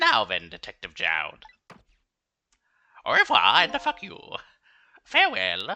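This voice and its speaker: A man in a put-on character voice, with long, frequent pauses. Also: fairly slow pace. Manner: smug, theatrical.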